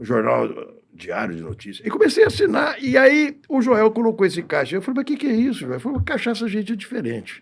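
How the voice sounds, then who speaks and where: A man speaks. His pace is fairly quick. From Brazil, São Paulo interior. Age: 60s. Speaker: podcast guest. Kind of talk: casual chat. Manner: halting.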